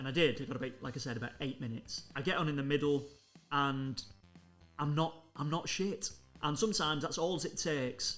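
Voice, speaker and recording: Over music in the background, a man with a fairly high pitch speaks with ordinary pitch variation. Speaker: stand-up comedian and poet. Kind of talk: casual vlog talk to camera. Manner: self-deprecating, conversational.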